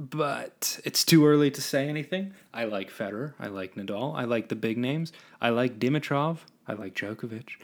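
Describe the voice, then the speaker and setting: At a moderate pace, a man speaks at medium pitch with ordinary pitch variation. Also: very clean recording, silent background. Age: 20s. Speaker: podcast host, cartoonist. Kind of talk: casual solo monologue. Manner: rambling, halting with many restarts.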